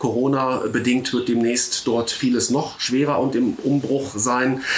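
Noticeable background noise behind a male voice of medium pitch. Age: 50s. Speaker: local politician. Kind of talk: casual chat.

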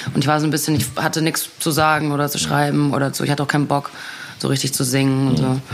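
A woman's very deep, low, monotone voice at a very fast pace and very even loudness, with music in the background. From Ruhr area, Germany. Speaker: singer and actress. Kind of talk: casual chat.

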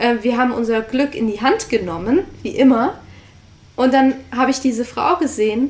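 Pausing long and often, a woman with a high pitch talks at a moderate pace with lively intonation. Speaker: podcast co-host, online entrepreneur. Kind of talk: casual storytelling conversation.

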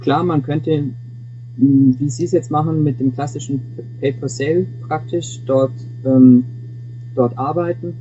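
Over noticeable background noise, a man at medium pitch talks at a fairly slow pace, leaving long, frequent pauses. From Augsburg, Bavaria (Swabia), Germany. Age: 20s. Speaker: student and intern. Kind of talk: interview. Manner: halting, frequent repetitions.

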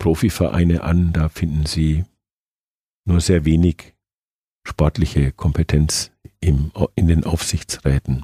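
A man speaks very slowly in a very deep, low voice with a dark, mellow tone and flat, monotone intonation, the sound dry and close with no echo. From Nuremberg, Franconia, Germany. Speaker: football club supervisory board chairman. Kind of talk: interview.

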